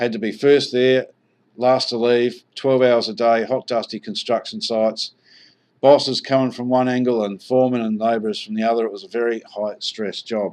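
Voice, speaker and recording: A man with an Australian accent at a moderate pace, with monotone, flat intonation. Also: medium pitch for a man. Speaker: online marketer, investment presenter. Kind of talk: sales presentation.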